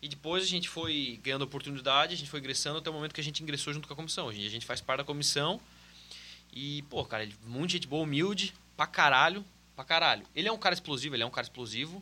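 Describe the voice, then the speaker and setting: Talking at a very fast pace, a man has a fairly high pitch, ordinary pitch variation and a bright, sharp tone. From Santa Catarina, Brazil (Brusque). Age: 20s. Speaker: football performance analyst. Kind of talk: casual chat.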